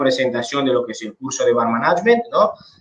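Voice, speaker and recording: This man speaks at a fairly high pitch. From Italy. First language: Italian (speaking Spanish). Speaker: bartender and bar management instructor. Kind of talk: online seminar talk.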